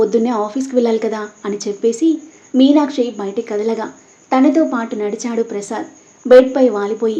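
A natural voice reading aloud, its pitch varying in an ordinary way.

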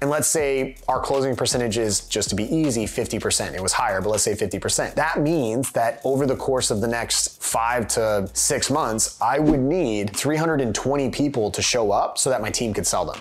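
The delivery keeps a moderate pace with hardly any pauses. Pitch varies in an ordinary way. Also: man. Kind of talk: interview answer. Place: home room.

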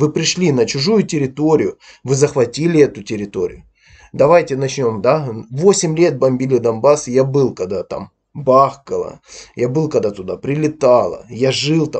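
A man talks at a moderate pace in a somewhat breathy voice. His pitch is fairly high, with ordinary variation. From Ukraine, Donbas. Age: 30s. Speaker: YouTube blogger. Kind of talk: angry video commentary rant. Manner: aggressive.

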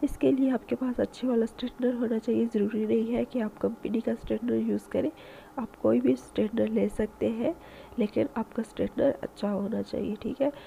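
A woman's fairly high voice with vocal fry, a dark, mellow tone, fairly even intonation and a fairly quick pace

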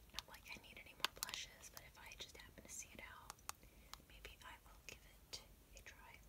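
A soft-spoken woman whispers at a moderate pace. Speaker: beauty vlogger. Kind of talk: casual product review chat. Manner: soft ASMR whisper, close to mic. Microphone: phone near.

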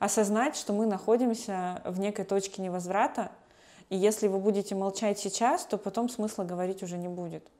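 Fairly even intonation carries a dark, mellow tone. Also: woman. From Russian Far East, Khabarovsk; Russian Far East. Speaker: human rights lawyer. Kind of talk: interview. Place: home room. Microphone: lapel.

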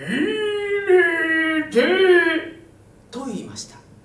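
Squeaky and extremely high, a put-on character voice drags at a very slow pace with a slight echo. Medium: read story.

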